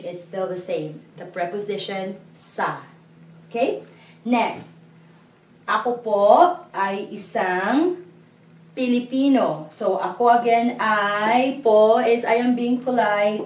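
The speech moves at a very slow pace, with long, frequent pauses, big swings in loudness and ordinary pitch variation. Room echo is audible. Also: woman. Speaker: language teacher. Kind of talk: lecture. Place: classroom. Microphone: camera far.

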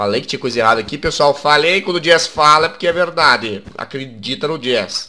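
Over noticeable background noise, a man talks at a fairly quick pace with hardly any pauses, his fairly high-pitched voice animated in tone with lively intonation. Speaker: gaming YouTuber. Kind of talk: gameplay commentary. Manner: casual, animated.

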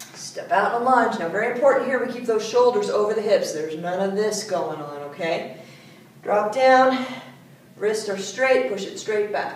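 A woman speaks at a moderate pace with lively intonation, over light background noise and audible room echo. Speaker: fitness instructor. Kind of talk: workout instruction with counting. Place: gym. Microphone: camera far.

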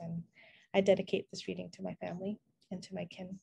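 Fairly low-pitched, somewhat breathy woman's voice with a dark, mellow tone and an American accent, over a quiet background. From US (Vietnamese American). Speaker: poet. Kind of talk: poetry reading. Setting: video call. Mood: warm, earnest. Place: home room. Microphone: earbuds.

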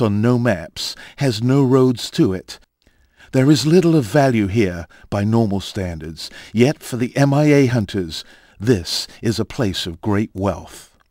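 A man's solemn, medium-pitched voice at a fairly slow pace, with lively intonation, in a dry, close recording with no echo, very clean and with a silent background. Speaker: documentary narrator. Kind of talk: scripted documentary narration, turning solemn in a prayer for the fallen. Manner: solemn, reverent, measured; formal, dramatic.

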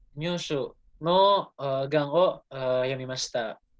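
The speaker has an Indonesian accent, heard against a quiet background. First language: Indonesian (speaking Japanese). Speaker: student. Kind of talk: class presentation. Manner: halting. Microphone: video call.

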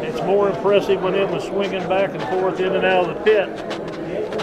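Against crowd noise in the background, a man talks at a moderate pace. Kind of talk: interview answer. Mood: nostalgic, emotional at times. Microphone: phone near.

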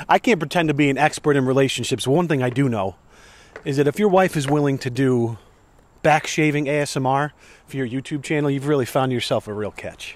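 Ordinary pitch variation marks this man's speech at a fairly quick pace. The sound is dry with no echo. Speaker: vlogger. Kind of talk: casual vlog chat. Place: garden. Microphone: handheld.

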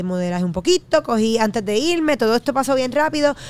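A woman talks at a fairly quick pace with lively intonation, and the sound is dry with no echo. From Puerto Rico, Trujillo Alto; Puerto Rico. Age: 30s. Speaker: fitness enthusiast and media personality; podcast guest. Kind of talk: casual chat. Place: studio. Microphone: studio mic.

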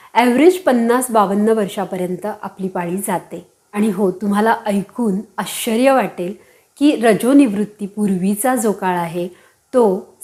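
It's a plain, everyday voice with ordinary pitch variation. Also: woman. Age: 40s. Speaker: women's health YouTuber. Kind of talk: informational talk to camera. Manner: warm, direct address.

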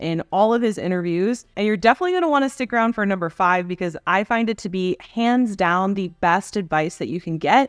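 A woman talking at a fairly quick pace with hardly any pauses and ordinary pitch variation, dry with no echo over a quiet background. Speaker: online business coach. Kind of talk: tutorial. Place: home room. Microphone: studio mic.

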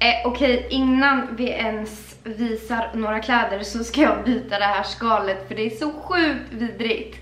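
In a room with audible echo, a woman talks at a fairly slow pace with ordinary pitch variation. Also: fairly high pitch for a woman, hardly any pauses. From Sweden. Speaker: lifestyle vlogger. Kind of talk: casual vlog chat. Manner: animated. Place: home room. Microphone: camera far.

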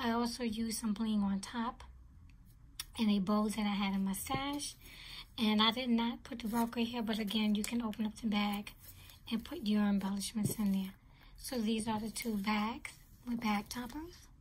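Somewhat breathy and fairly high, a woman's voice holds fairly even intonation, broken by long, frequent pauses. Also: moderate pace. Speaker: craft vlogger. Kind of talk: tutorial. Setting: home video, showing items to camera. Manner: casual, halting with filler words.

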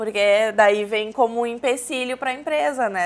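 The woman's fairly high voice shows ordinary pitch variation as she talks at a moderate pace. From São Leopoldo, Rio Grande do Sul, southern Brazil; Rio Grande do Sul, Brazil. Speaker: business consultant; talk show guest. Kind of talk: TV interview. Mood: relaxed, friendly. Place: studio. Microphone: lapel.

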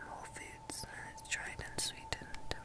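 A woman's voice over loud background noise. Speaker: video creator. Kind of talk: soft casual show-and-tell chat. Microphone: webcam.

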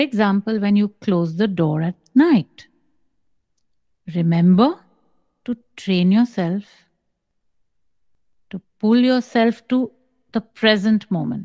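Speaking at a very slow pace with long, frequent pauses, a woman has a dark, mellow tone against a quiet background. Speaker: spiritual teacher. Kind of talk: spiritual guidance answer. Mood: calm, measured, slow. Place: home room. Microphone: studio mic.

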